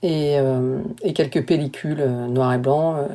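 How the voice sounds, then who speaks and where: A woman speaks very slowly in a very deep, low voice with ordinary pitch variation. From France, partly raised in the US. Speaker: photographer. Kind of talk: interview. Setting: remote call. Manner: halting.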